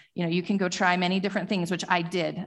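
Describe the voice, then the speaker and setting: A woman with an American accent speaks at a fairly low pitch. The recording is very clean, with a silent background. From Utah, US. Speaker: church elder. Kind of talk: testimony. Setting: church.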